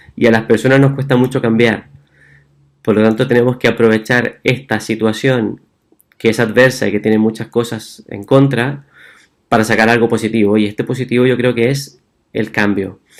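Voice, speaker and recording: The intonation stays monotone and flat. The pace is moderate. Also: man, medium pitch for a man. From Chile. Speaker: physician. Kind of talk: talk. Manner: halting.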